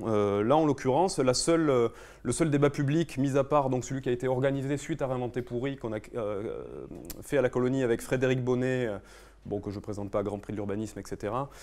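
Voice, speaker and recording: Talking fairly quickly, a man holds a medium pitch with ordinary pitch variation. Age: young. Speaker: architect. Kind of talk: conference talk. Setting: conference room with audience. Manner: fast; hesitant, many fillers.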